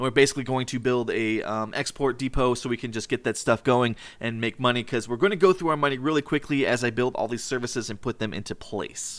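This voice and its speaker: Very fast and with hardly any pauses, a man talks at a medium pitch with ordinary pitch variation. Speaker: gaming youtuber. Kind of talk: let's play commentary.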